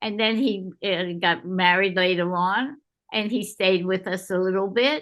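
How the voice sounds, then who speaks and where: The background is quiet as a woman speaks in a New York accent. She goes at a fairly slow pace. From New York City. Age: 90s. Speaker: game creator's grandmother. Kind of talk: interview. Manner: halting.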